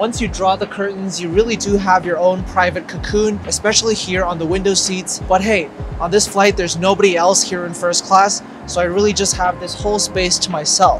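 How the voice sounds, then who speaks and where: With noticeable background noise, a man speaks at a moderate pace in a high pitch with monotone, flat intonation. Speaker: travel reviewer. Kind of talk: casual vlog chat. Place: plane.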